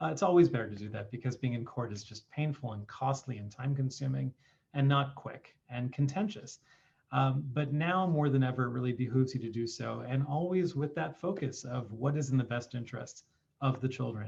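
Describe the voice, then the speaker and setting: A man's somewhat breathy, medium-pitched voice at a fairly quick pace with ordinary pitch variation. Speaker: family law attorney. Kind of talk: presentation on video call.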